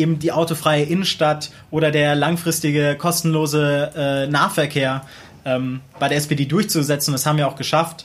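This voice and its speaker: At a moderate pace, a man talks in a somewhat breathy voice with monotone, flat intonation. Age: 20s. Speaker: local council candidate, student. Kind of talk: interview.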